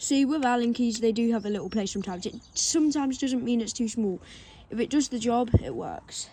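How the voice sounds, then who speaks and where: Speaking in an English accent, a woman uses a fairly high pitch, a dark, mellow tone and ordinary pitch variation. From England. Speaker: BMX rider making a how-to video. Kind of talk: tutorial. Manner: casual.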